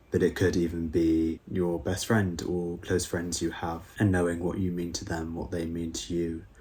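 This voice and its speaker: In a British accent, a man with a very deep, low pitch speaks at a moderate pace, his tone dark and mellow, somewhat breathy, with monotone, flat intonation. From UK. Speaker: YouTuber, school learning support assistant. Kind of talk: reflective vlog monologue. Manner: casual, with fillers.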